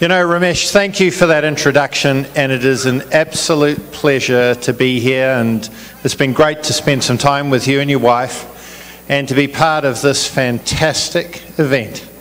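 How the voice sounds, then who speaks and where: Speaking fairly slowly with a New Zealand accent, a man uses a fairly high pitch with ordinary variation. Noticeable background noise runs under his voice. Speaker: business executive, chief guest. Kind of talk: public speech. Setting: community event with audience.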